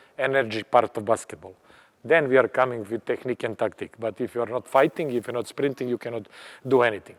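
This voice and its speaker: Recorded dry and close with no echo, a man has a plain, everyday voice at medium pitch with fairly even intonation. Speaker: basketball coach. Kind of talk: coaching clinic lecture. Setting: clinic at a tournament.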